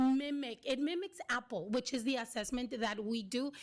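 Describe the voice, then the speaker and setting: This woman speaks at a high pitch with ordinary pitch variation. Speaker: teacher presenting to school board. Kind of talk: public meeting presentation. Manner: halting, many fillers.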